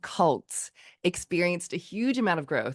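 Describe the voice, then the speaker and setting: Speaking with an American accent, a woman uses a fairly low pitch and lively intonation at a moderate pace. The background is quiet. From United States. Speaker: podcast host. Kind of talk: podcast interview; reading a guest bio.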